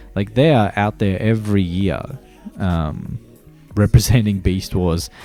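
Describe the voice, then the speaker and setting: Music plays in the background as a man with an Australian accent speaks at a fairly slow pace. His voice is fairly low, with ordinary pitch variation. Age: 30s. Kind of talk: casual podcast talk. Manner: casual, rambling, with swearing.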